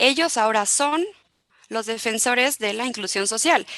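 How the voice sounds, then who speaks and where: A woman with a non-native accent and a bright, sharp tone, at a moderate pace with ordinary pitch variation. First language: not Spanish (speaking Spanish). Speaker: human rights expert. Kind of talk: panel talk. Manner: halting, many fillers and restarts.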